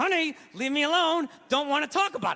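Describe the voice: A man does a put-on character voice at an extremely high pitch. He talks at a fairly quick pace.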